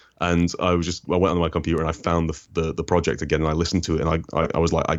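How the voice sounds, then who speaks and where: In a British accent, a man with a very deep, low voice speaks at a very fast pace. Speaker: comics critic and video essayist. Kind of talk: interview.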